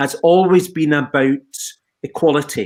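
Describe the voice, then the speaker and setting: With a Scottish Highlands and Islands accent and ordinary pitch variation, this voice comes through on a very clean recording with a silent background. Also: man. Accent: Scottish Highland and Islands. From Scotland, Western Isles (Skye). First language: Gaelic and twin speak. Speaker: social care leader. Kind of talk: panel interview.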